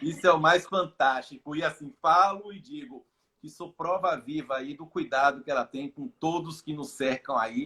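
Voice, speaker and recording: A man with a Bahian accent talks at a moderate pace in a fairly high pitch, with a bright, sharp tone, ordinary pitch variation and big swings in loudness. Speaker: live stream host. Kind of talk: casual chat. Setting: Instagram live video call.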